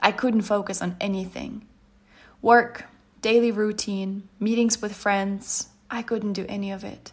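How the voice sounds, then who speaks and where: A somewhat breathy woman speaks at a medium pitch and fairly slow pace, her intonation monotone and flat while her loudness swings widely. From Ukraine. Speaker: leadership coach. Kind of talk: personal testimony in a scripted micro podcast.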